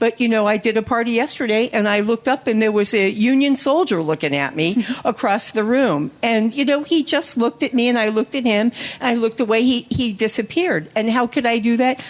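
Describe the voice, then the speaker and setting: A woman's fairly high voice, fairly quick and lively, hardly any pauses, over noticeable background noise. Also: very even loudness. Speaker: psychic life coach. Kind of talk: panel talk. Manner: loud.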